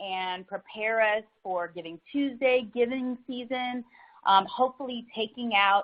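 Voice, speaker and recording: The woman's delivery is fairly slow. Pitch variation in her voice is ordinary. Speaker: social media consultant. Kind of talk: webinar presentation. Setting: online webinar. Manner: giggly.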